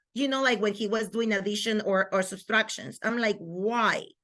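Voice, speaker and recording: With a Spanish accent, a woman speaks at a moderate pace in a bright, sharp tone and a fairly high pitch. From Venezuela. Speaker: microschool founder and homeschooling mother. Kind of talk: interview conversation.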